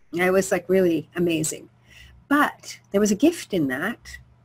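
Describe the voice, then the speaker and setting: A woman with an unremarkable speaking voice and medium pitch talks at a fairly slow pace. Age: 60s. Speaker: health coach. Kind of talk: webinar talk. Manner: casual, conversational.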